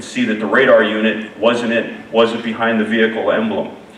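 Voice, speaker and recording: A man speaks at a medium pitch with fairly even intonation. Audible room echo and noticeable background noise surround his voice. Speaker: keynote speaker, insurance safety researcher. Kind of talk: conference keynote presentation. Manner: fast.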